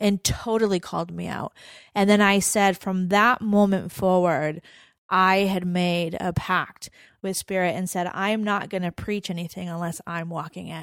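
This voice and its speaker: A woman's medium-pitched, plain, everyday voice with fairly even intonation and a dry, close sound with no echo. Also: moderate pace. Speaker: podcast co-host. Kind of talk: casual chat. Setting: studio with live audience.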